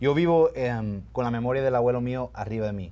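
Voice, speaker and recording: The speaking pace is moderate. Pitch variation is ordinary. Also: man. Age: 40s. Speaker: lawyer and community activist; lawyer. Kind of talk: interview. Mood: earnest, heartfelt. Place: studio. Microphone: lapel.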